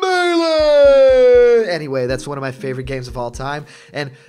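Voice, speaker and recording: A man is speaking. Music plays in the background. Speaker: gaming commentary YouTuber. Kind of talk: casual talk to camera. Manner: conversational, enthusiastic.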